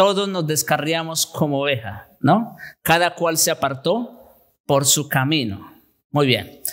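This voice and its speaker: Against a quiet background, a man with a fairly high pitch speaks very slowly with lively intonation. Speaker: pastor. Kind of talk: sermon. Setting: church. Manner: formal, teacherly, expository; earnest, emphatic.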